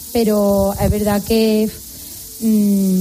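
A medium-pitched woman speaks over noticeable background noise. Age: 40s. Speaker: new mother. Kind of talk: casual interview. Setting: hospital.

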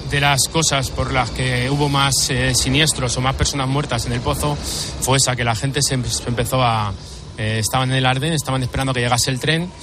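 A man speaks at a moderate pace and medium pitch, his intonation fairly even, over noticeable background noise. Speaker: firefighter. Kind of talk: testimony interview.

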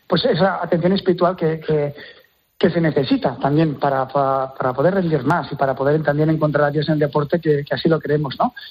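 A man with a fairly high pitch talks at a fairly quick pace, somewhat breathy, with ordinary pitch variation and very even loudness. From Catalonia, Terrassa. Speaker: church sports ministry organizer, former elite hockey player. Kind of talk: interview.

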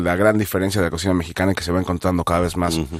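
Fairly even intonation runs through a man's very deep, low voice. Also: very clean recording, silent background. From Mexico, Mexico City. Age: 40s. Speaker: chef. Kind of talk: interview.

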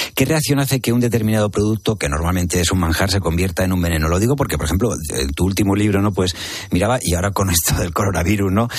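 A man with a very deep, low pitch speaks at a very fast pace with very even loudness. His pitch variation is ordinary, and noticeable background noise is present. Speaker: radio host. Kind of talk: radio magazine interview. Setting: radio studio.

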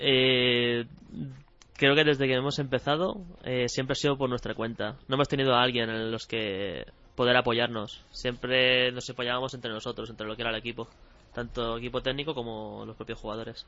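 In a normal speaking voice, a man speaks at a moderate pace with medium pitch and fairly even intonation. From Spain, Barcelona. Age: 20s. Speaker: professional esports player. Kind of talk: radio interview.

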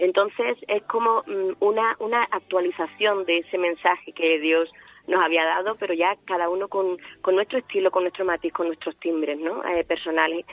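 Her intonation stays fairly even at a moderate pace. The woman's pitch is medium. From Huelva, Andalusia, Spain. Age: 50s. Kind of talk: radio interview. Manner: halting, with many repetitions.

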